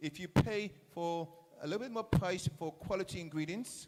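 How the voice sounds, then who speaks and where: The tone is animated, in an English accent. Pitch moves in an ordinary way. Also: man. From England. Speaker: chef. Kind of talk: speech to school students at event. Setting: school event audience.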